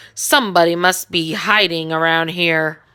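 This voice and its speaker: Using a put-on character voice, a woman speaks at a moderate pace with a fairly low pitch and fairly even intonation. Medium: read story.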